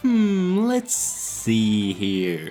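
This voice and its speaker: A man talks with a Finnish accent, his pitch swinging very widely. Music plays in the background. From Finland. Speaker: video essayist. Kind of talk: video essay narration.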